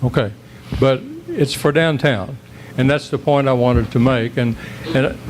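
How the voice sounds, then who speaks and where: With an American accent, a man talks at a moderate pace and medium pitch, his loudness very even and his pitch varying in an ordinary way, broken by long, frequent pauses over noticeable background noise. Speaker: citizen speaking at council meeting. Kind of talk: public comment at council meeting. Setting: council chambers, public meeting. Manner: halting. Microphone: too quiet, backed off the mic.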